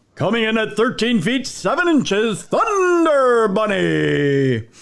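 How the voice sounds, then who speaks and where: At a fairly slow pace, a man performs a put-on character voice pitched high. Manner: dramatic announcing.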